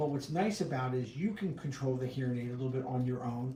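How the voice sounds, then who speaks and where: Audible room echo surrounds a man speaking at a fairly quick pace. His pitch is fairly high, and his intonation is lively. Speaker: hearing instrument specialist. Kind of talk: casual Q&A livestream. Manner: loud and clear.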